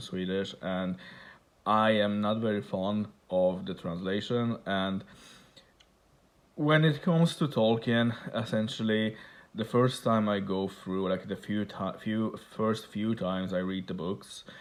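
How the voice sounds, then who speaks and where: With a Polish accent, a man speaks at a fairly slow pace and a fairly low pitch. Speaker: book collector vlogger. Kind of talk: casual show-and-tell vlog. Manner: halting, many fillers and repeats.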